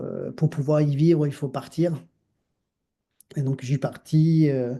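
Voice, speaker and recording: In a dark, mellow tone, a man speaks at a fairly high pitch and a very slow pace with monotone, flat intonation. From Argentina, Mar del Plata. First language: Spanish (speaking French). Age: 50s. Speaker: dancer and choreographer. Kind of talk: interview conversation. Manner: halting, many fillers.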